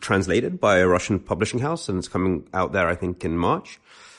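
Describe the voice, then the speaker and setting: This is a man speaking. He talks with a British accent. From London, England. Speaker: author and essayist. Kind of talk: casual chat.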